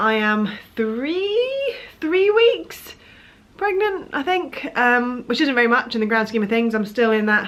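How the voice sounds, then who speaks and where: Her high-pitched voice carries lively intonation as the woman talks at a fairly slow pace. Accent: British. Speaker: vlogger. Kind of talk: casual vlog chat. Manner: rambling, hesitant.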